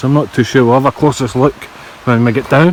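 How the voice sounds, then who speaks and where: A man with a Scottish accent, medium in pitch, with fairly even intonation, over noticeable background noise. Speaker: exploration vlogger. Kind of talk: walking vlog narration. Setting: outdoors. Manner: casual, conversational.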